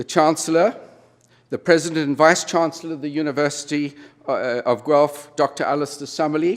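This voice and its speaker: Here a man with a South African accent talks at a fairly quick pace. His fairly high voice keeps a fairly even intonation. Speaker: retired business executive, honorary degree recipient. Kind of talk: convocation speech. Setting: university convocation ceremony with audience.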